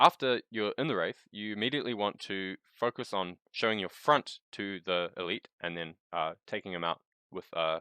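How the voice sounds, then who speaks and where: The voice has a bright, sharp tone and ordinary pitch variation. It moves at a moderate pace against a quiet background. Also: man. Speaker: speedrunner. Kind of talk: game tutorial narration. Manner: casual.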